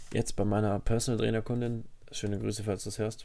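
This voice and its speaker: Dark, mellow tone and fairly low pitch in a man's voice. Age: 20s. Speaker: podcast co-host, personal trainer. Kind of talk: casual chat. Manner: animated.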